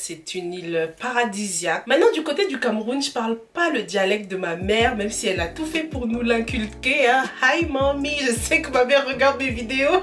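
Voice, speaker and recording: Lively intonation carries a fairly slow pace against noticeable background noise. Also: woman. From Cameroon (anglophone region), moved to France at 11-12. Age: 20s. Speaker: YouTuber reviewing African films and series. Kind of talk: casual Q&A vlog. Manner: chatty, informal, addresses viewers directly.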